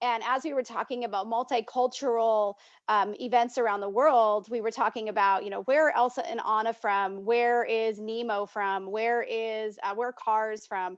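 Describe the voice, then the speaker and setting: Over a quiet background, a woman with a plain, everyday voice talks at a moderate pace in a fairly high pitch, with fairly even intonation and hardly any pauses. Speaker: volunteer trainer. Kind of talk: online training presentation. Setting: video call.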